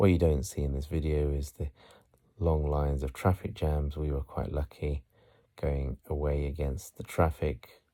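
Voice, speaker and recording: Soft-spoken, dark and mellow, with a British accent, fairly even intonation, a moderate pace and a very clean recording over a silent background. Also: man, very deep, low pitch for a man. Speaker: voice-over artist. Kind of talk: relaxing city tour narration. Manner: soft, relaxing.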